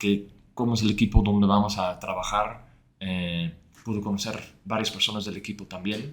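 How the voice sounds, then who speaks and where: Speaking at a moderate pace, a man with a fairly low pitch keeps a monotone, flat intonation. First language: Dutch (speaking Spanish). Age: 30s. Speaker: former head of growth. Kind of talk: interview. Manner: halting.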